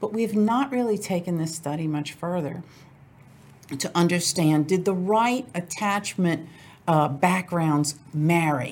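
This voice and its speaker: In a very clean recording with a silent background, a woman with an American accent speaks in a normal speaking voice at a fairly low pitch. Her intonation is lively and her pace fairly slow. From US South, New Orleans. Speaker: divorce lawyer. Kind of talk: interview.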